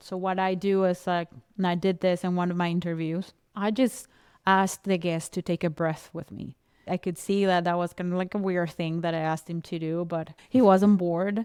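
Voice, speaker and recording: A woman with a non-native accent speaks at a moderate pace and a fairly low pitch, her intonation monotone and flat. The recording is very clean, with a silent background and a dry, close sound with no echo. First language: not English. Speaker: podcast coach. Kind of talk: casual chat.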